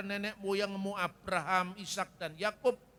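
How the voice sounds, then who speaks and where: In a Javanese accent, a man uses a raised, projected voice at a high pitch. His tone is bright and sharp, and his pace is moderate. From Java, Indonesia. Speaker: preacher. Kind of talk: sermon.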